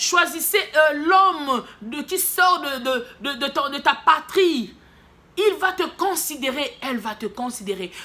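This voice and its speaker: A woman's raised, projected voice, high-pitched with a bright, sharp tone, moves at a very slow pace through very wide pitch swings. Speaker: prophetess, preacher. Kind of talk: sermon.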